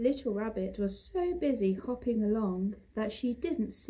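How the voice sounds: The reading has lively intonation, delivered in a natural reading voice.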